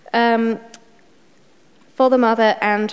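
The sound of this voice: A woman's medium-pitched, slightly mellow voice at a fairly slow pace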